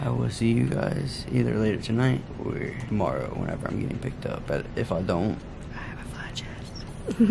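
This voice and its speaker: Someone whispers at a moderate pace in a tired tone. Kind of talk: casual vlog chat. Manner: groggy, tired post-surgery voice. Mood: upbeat, playful after surgery. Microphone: phone near.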